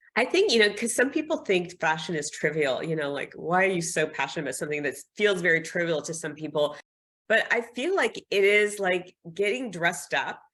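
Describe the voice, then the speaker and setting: In a very clean recording with a silent background, a woman talks at a fairly quick pace with a medium pitch and lively intonation. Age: 60s. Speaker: fashion and lifestyle influencer, former marketing executive. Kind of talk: podcast interview. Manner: conversational.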